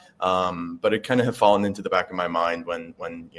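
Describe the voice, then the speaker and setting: A man with a Chicago accent, at a fairly quick pace. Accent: American (Chicago). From US Midwest, Chicago. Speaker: veterinary student. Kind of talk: interview. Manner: halting, many fillers.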